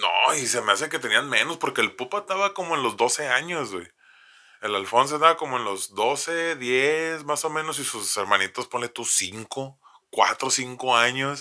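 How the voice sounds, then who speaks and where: A man at a fairly slow pace, bright and sharp in tone, animated, with lively intonation. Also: medium pitch for a man. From Mexico, Tijuana. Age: 30s. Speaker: podcast host. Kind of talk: casual storytelling chat. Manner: animated, slangy with fillers.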